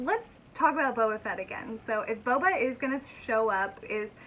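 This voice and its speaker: A woman talks in an animated tone at a moderate pace. Background noise is noticeable. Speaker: YouTuber, fan commentator. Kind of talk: casual vlog commentary. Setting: home bedroom. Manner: animated, chatty.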